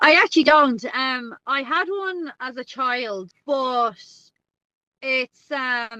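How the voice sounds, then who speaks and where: A woman with an American accent talks at a high pitch in a bright, sharp tone, recorded with a dry, close sound and no echo. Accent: Irish (Dublin), with a slight American twang. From Ireland, Dublin. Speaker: guest co-host, Irish expat. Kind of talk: casual podcast chat. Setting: in her car.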